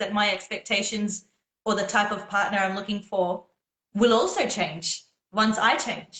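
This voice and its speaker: A woman speaks in an Australian accent. Her tone is bright and sharp. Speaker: singer. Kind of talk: casual chat.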